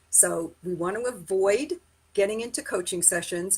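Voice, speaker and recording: Speaking at a fairly slow pace, this woman uses a medium pitch and an unremarkable speaking voice. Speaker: sales trainer. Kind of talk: live-streamed training. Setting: live stream.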